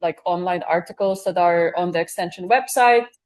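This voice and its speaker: A woman with a non-native accent speaks in a fairly low voice. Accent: noticeable foreign. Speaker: bee researcher. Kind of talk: audience Q&A answers. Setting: live event with audience and Zoom stream. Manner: hesitant, many filler words.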